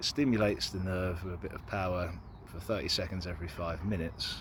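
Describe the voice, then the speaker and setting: A man with a British accent, a very deep, low pitch, a somewhat breathy sound and a fairly quick pace. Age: 30s. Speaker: person telling own health story. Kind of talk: personal testimony.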